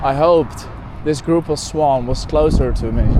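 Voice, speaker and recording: With a Dutch accent, a man speaks at a fairly high pitch over noticeable background noise. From Netherlands. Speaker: bird photographer vlogger. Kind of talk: casual vlog monologue. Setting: outdoors, walking beside a road. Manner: halting, with fillers and self-repairs.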